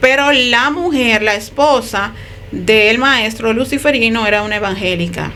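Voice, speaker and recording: With audible room echo and noticeable background noise, a woman speaks fairly slowly in a fairly high voice with ordinary pitch variation. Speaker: ex-occultist giving testimony. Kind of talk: testimony.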